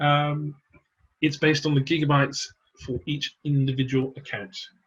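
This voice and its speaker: Somewhat breathy and fairly high-pitched, a man talks at a moderate pace in a monotone, flat intonation. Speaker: product presenter. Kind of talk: webinar Q&A. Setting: online webinar.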